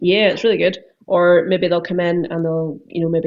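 A woman with a Northern Irish accent talks at a fairly quick pace and fairly low pitch, her intonation monotone and flat. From Northern Ireland. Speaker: car detailer and window tinter. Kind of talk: casual chat.

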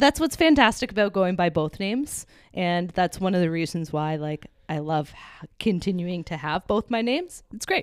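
A woman with a Canadian accent and a plain, everyday voice, lively in intonation at a moderate pace, in a very clean recording with a silent background. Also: medium pitch for a woman. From Hamilton area, Ontario, Canada. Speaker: client experience manager. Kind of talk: casual interview.

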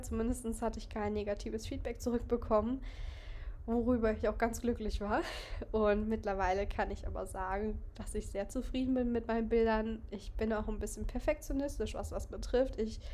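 Noticeable background noise and audible room echo surround a voice with fairly even intonation at a moderate pace. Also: woman. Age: 20s. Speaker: photographer and podcast host. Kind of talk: casual solo monologue.

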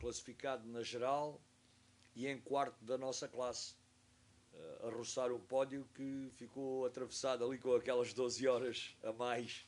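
At a fairly slow pace, a man with a medium pitch speaks in a monotone, flat intonation. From Portugal, Algarve (Faro). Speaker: sailing instructor and university professor. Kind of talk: interview, casual storytelling. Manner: halting, with hesitations.

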